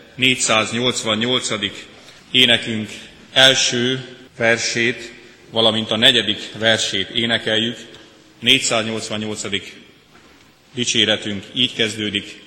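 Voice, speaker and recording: A man speaks at a very slow pace with long, frequent pauses. His intonation is monotone and flat, and background noise is noticeable. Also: medium pitch for a man. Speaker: liturgist. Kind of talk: church liturgy. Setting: church.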